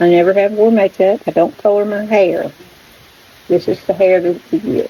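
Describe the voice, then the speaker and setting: Noticeable background noise runs under a woman speaking at a moderate pace with a North Carolina accent. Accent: rural US Southern (North Carolina). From North Carolina, rural Stokes County. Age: 60s. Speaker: backyard chicken vlogger. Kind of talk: casual vlog chat. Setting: front porch.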